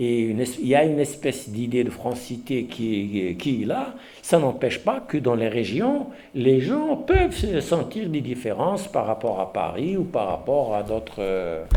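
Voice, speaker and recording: Audible room echo carries a man's dark, mellow voice at a medium pitch. He speaks at a fairly slow pace with very wide pitch swings. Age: 60s. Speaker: professor. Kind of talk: lecture. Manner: halting.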